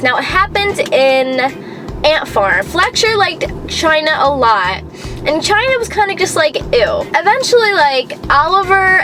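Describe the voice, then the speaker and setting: A woman with very wide pitch swings over music in the background. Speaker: youtuber. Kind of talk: casual chat. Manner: loud at times, also very soft; not very enthusiastic, calm.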